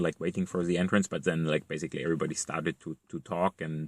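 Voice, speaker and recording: Man with a German accent at a fairly quick pace, dry and close with no echo, on a very clean recording with a silent background. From East Germany. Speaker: vlogger. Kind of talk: casual monologue. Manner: halting, many fillers and repetitions.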